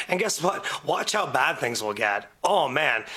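A man speaks in a raised, projected voice at a moderate pace. Noticeable background noise runs behind him. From Windsor, Ontario, Canada. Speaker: podcast guest, radio show colleague. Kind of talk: casual chat.

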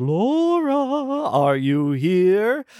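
A put-on character voice sits at a fairly high pitch and moves through very wide pitch swings. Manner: eerie, ethereal, haunting.

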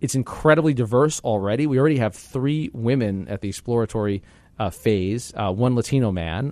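A man's normal speaking voice at medium pitch, lively intonation and a fairly quick pace over a quiet background. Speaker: political analyst and co-host. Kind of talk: news discussion, co-hosted podcast.

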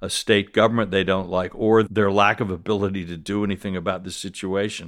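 The speaker has an American accent and monotone, flat intonation, in a very clean recording with a silent background. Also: man. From South Carolina. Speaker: news commentator and columnist. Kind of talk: casual chat.

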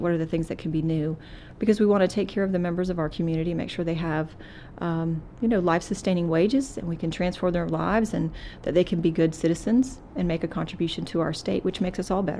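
Speaking very fast with fairly even intonation, a woman with an American accent has a fairly low pitch and a dark, mellow tone. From Florida and rural North Carolina. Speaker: community college president. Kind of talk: interview. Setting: on a college campus.

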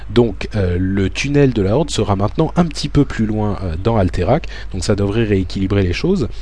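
Fairly low in pitch, a man speaks at a moderate pace with lively intonation. There is noticeable background noise behind him. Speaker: podcast host. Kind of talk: scripted narration; casual chat. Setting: recorded alone at home.

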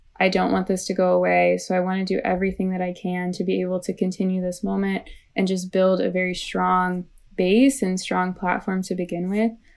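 With a Midwestern American accent, a woman talks at a fairly quick pace in a monotone, flat intonation. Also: medium pitch for a woman. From US Midwest, St. Louis, Missouri. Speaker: environmental activist and writer. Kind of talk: interview.

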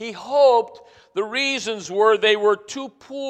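What we hear is plain reading aloud.

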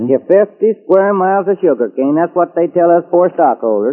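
This man has a Texas accent and a high pitch. His intonation is lively. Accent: Texas drawl. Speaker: radio drama character. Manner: folksy, jovial.

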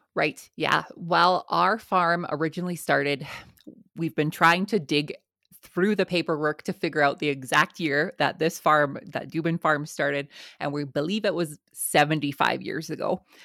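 In a very clean recording with a silent background and a dry, close sound with no echo, a woman with a Canadian accent speaks at a moderate pace with a very deep, low pitch, a bright, sharp tone and fairly even intonation. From southern Alberta, Canada. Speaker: farmer and podcaster. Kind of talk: interview.

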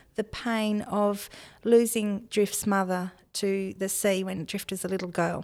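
Speaking at a fairly slow pace, a woman with an Australian accent has a medium pitch. Her intonation is flat and monotone. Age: 50s. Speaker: novelist and farmer. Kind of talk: interview. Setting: studio.

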